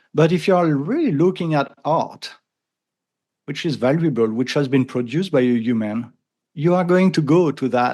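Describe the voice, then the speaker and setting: A man with a strong French accent at a moderate pace, ordinary pitch variation, quiet background. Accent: thick French. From France. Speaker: AI consultant and podcaster. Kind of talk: interview conversation. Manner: halting with repetitions.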